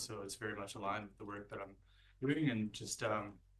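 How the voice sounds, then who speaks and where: A man speaks fairly quickly, and audible room echo surrounds his voice. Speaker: board chair. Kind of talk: council meeting. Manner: quiet.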